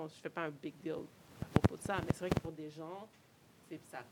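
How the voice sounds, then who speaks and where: Over noticeable background noise, a woman with a Quebec accent speaks with fairly even intonation. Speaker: nutritionist. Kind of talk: casual interview.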